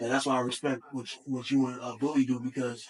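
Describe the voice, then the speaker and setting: A man speaks with an American accent at a fairly high pitch. It is a plain, everyday voice. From Buffalo, New York. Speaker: hip-hop artist. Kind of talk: casual interview chat.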